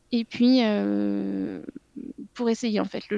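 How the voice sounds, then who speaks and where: A woman's very slow speech, with a dry, close sound and no echo. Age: 30s. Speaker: mother sharing breastfeeding experience. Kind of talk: interview testimony. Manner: halting, many hesitations.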